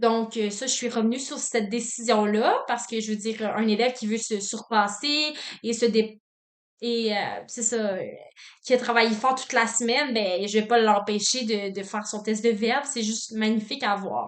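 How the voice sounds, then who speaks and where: Keeping her intonation fairly even, a woman with a fairly high pitch speaks at a moderate pace. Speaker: student teacher. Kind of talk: reflective self-assessment monologue. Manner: loud, dynamic; frequent filler words.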